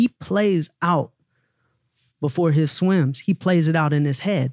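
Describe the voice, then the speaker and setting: Energetic in tone, a man with a Southern US accent speaks at a fairly high pitch, the sound dry and close with no echo. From US South. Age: 30s. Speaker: former music manager turned endurance athlete. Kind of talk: casual interview. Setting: studio. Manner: confident.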